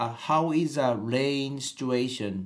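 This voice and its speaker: The speaker talks at a very slow pace in a Japanese accent. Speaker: podcast host, English learner. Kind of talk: casual interview chat. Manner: halting.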